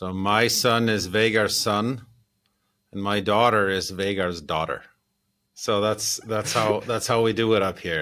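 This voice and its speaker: A man speaks at a fairly slow pace with a fairly low pitch. His tone is bright and sharp, and his intonation fairly even. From Iceland, Keflavik. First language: Icelandic. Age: 50s. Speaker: composer. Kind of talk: interview.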